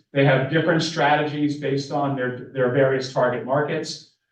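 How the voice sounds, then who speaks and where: A man with an American accent, fairly even intonation and audible room echo. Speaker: professor. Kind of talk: conference presentation. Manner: halting.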